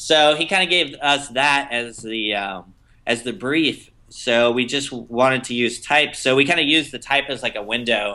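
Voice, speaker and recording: A man at a moderate pace and medium pitch. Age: 20s. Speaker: animation director and designer. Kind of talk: interview. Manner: hesitant, many fillers.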